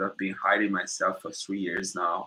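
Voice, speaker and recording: He has a non-native accent. The man speaks at a moderate pace. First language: Portuguese. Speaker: YouTuber and businessman. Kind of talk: livestream Q&A monologue. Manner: casual, halting.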